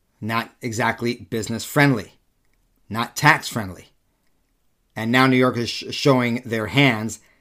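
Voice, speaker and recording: A man's medium-pitched voice, bright and sharp in tone, at a fairly slow pace with long, frequent pauses. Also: very clean recording, silent background. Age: 40s. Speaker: political podcast host. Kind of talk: solo commentary monologue. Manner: animated.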